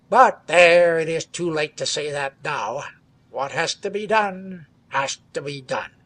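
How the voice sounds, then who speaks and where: A man's put-on, growling character voice, high in pitch, with ordinary pitch variation, a fairly slow pace, and a dry, close sound with no echo. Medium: read story. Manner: jaunty, growling.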